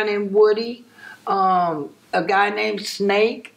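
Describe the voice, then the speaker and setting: A very slow delivery with an American accent and ordinary pitch variation. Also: woman. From Compton, Los Angeles, California. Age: 60s. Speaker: interviewee recalling neighborhood gang history. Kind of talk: interview.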